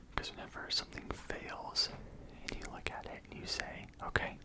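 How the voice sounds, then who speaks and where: A man whispering over noticeable background noise. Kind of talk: ASMR head massage with motivational talk.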